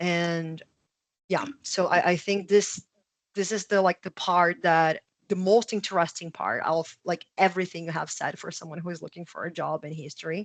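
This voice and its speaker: A woman with an unremarkable speaking voice and a fairly low pitch talks at a moderate pace with fairly even intonation and big swings in loudness, in a dry, close sound with no echo. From immigrant to Canada. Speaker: podcast host. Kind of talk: podcast interview.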